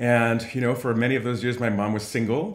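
A quiet background with audible echo in the room. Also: man. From New York City (Harlem); New York. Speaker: nonprofit CEO; guest. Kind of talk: interview. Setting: video call. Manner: fast. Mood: earnest, reflective. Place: home room.

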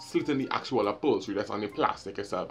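A man with a Trinidadian accent talks very fast, his pitch swinging very widely, with music playing in the background. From Trinidad and Tobago. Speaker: vlogger. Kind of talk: storytime, casual talk to camera. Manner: humorous, animated. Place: home room. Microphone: phone near.

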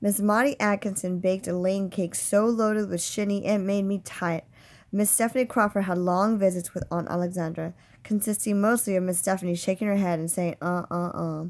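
A woman speaks in a plain, everyday voice at a medium pitch with fairly even intonation. The recording is very clean, with a silent background. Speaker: teacher reading a novel aloud. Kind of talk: literary audiobook reading. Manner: measured, storytelling narration with shifts of voice for each character's dialogue.

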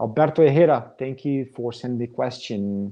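A man talks in a Portuguese accent at a medium pitch. His tone is dark and mellow, with ordinary pitch variation. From Brazil. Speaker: metal drummer. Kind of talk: live Q&A. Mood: relaxed, friendly. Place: home room. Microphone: webcam.

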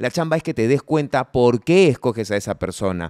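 The background is quiet and the sound is dry, with no echo. A man talks at a moderate pace. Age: 40s. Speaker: podcast co-host. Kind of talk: casual chat. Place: studio. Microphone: studio mic.

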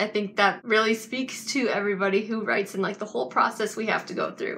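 With a Canadian accent, a woman speaks in a fairly even intonation against noticeable background noise. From Canada. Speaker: book vlogger. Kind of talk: casual unboxing video. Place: home room. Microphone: phone near.

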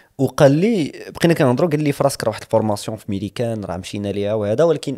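Speaking very fast, a man uses a dark, mellow tone and lively intonation. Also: quiet background. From Morocco. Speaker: English teacher; podcast guest. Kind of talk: casual chat. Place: studio. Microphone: studio mic.

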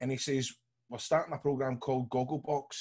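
A man speaks at a fairly quick pace in a somewhat breathy voice against a quiet background. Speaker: podcast co-host. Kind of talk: casual podcast storytelling. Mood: jovial anecdote. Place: home room. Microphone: video call.

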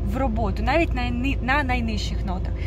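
There is noticeable background noise behind a woman's voice. The sound is dry, with no echo. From Ukraine. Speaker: vocal teacher. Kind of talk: tutorial. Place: car. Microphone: phone near.

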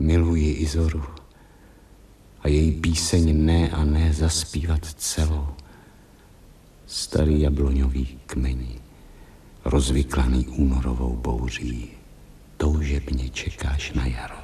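A man's hoarse put-on character voice, very deep and low, with fairly even intonation and long, frequent pauses. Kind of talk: poetic stage monologue. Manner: melancholy, brooding.

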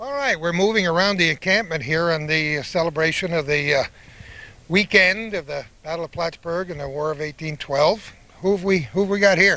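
With an American accent, a man talks at a moderate pace in a bright, sharp tone, his pitch high and his pitch variation ordinary. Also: dry sound with no echo. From northern New York. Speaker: local TV host and interviewer; local TV host, interviewer. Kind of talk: on-location event coverage and interviews. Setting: outdoors at a commemoration ceremony. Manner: chatty, jovial. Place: open country. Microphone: handheld.

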